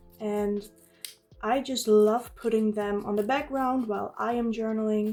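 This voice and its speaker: A woman with a Dutch accent, fairly high in pitch, at a fairly slow pace, flat and monotone, with music in the background. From Netherlands. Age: 20s. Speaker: journaling YouTuber. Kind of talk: casual vlog talk while crafting. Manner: occasional hesitations and fillers.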